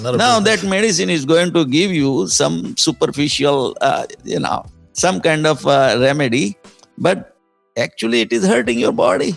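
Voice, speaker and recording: Over music in the background, a man talks at a moderate pace in a fairly high pitch, with very wide pitch swings and very even loudness. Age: 60s. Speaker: entrepreneur and author. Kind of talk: podcast interview answer.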